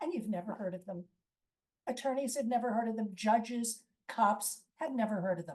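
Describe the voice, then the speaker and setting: The voice has a dark, mellow tone and sounds somewhat breathy. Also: woman. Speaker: lawyer and lecturer. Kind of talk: presentation.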